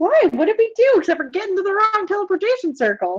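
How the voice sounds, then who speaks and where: In a put-on character voice, a woman talks very fast at an extremely high pitch, squeaky and with lively intonation, in a dry, close sound with no echo. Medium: actual play. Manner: rambling, flustered.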